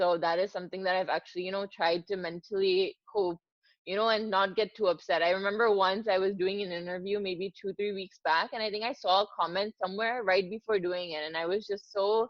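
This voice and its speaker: Here is a woman with an ordinary speaking voice at a medium pitch. She talks at a fairly quick pace with fairly even intonation. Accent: American. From US, New Jersey. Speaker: cricket presenter. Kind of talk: interview. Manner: casual, many fillers.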